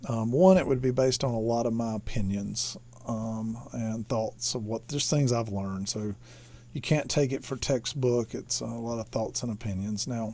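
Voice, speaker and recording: This man has a medium pitch and a dark, mellow tone. He speaks with a Southern US accent. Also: ordinary pitch variation, very clean recording, silent background. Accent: slow southern drawl. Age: 40s. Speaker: electronics hobbyist teacher. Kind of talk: lecture. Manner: halting, many fillers.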